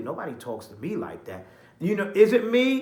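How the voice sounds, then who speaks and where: A man's pitch swings very widely as he talks at a moderate pace in audible room echo. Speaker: TV show reviewer. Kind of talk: casual review monologue.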